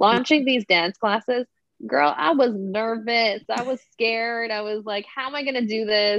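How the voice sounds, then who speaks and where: A woman's fairly high voice at a moderate pace, with ordinary pitch variation and an unremarkable speaking voice. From Toronto, Canada. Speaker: dancer and small business owner. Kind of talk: casual interview chat.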